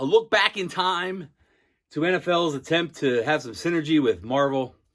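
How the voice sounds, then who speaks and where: Loud and high-pitched, a man speaks on a very clean recording with a silent background. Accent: American. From Philadelphia, US. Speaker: comic book YouTuber. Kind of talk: casual video review. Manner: fast.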